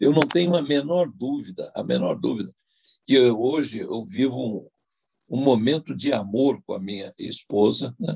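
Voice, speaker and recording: A man with a dark, mellow tone and vocal fry speaks at a medium pitch. His pace is fairly slow and his intonation lively. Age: 80s+. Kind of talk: testimony. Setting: online video event. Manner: halting, many fillers.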